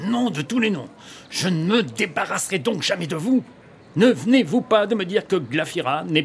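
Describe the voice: Someone does plain reading aloud. Their pitch rises and falls in a lively way.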